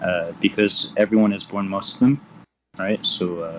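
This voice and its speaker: A man speaks in a plain, everyday voice with a fairly low pitch. He keeps a moderate pace and fairly even intonation. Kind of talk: heated debate.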